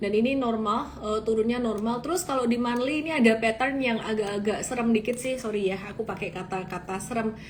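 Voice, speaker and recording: A woman with a strong Javanese accent talks at a fairly quick pace in a fairly high pitch, with ordinary pitch variation, noticeable background noise and audible room echo. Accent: thick Javanese. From Indonesia, Solo (Central Java). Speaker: stock market analyst. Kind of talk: live-stream market analysis. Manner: casual, conversational.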